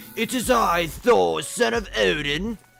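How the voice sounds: A man speaks in a put-on character voice, pitched high. Faint music plays in the background. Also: fairly slow pace.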